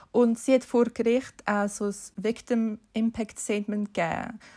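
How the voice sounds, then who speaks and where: Recorded very cleanly against a silent background, a woman with a Swiss accent speaks in a fairly high, somewhat breathy voice with monotone, flat intonation. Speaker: podcast co-host. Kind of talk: casual chat.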